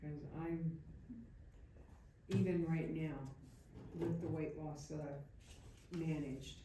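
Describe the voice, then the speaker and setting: In a room with audible echo, a woman speaks at a very slow pace with long, frequent pauses, her very deep, low voice somewhat breathy, dark and mellow in tone, and monotone and flat in intonation. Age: 70s. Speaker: audience member. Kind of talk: audience question.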